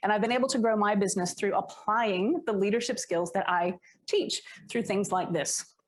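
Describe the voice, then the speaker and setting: A woman with an American accent, moderate pace, ordinary pitch variation and very even loudness. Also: medium pitch for a woman. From United States. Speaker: leadership coach. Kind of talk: workshop talk. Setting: stage with live audience.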